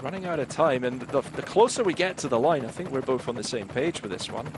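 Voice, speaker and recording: In a Scottish accent, a man talks at a fairly quick pace with lively intonation. Noticeable background noise runs underneath. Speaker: cycling commentator. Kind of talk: live commentary.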